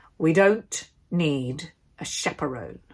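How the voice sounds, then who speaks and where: A woman's put-on character voice, very deep and low in pitch, with lively intonation. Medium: read story. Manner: curt, menacing.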